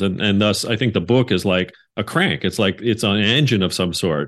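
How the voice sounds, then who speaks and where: A man with a plain, everyday voice, a Canadian accent, a fairly low pitch, ordinary pitch variation and a moderate pace, against a quiet background. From Canada. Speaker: podcast host. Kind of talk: interview.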